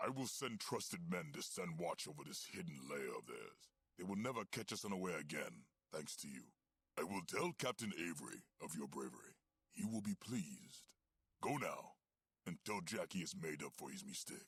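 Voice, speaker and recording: Putting on a character voice, a man speaks at a moderate pace. His pitch is fairly low. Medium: video game. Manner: clipped, authoritative.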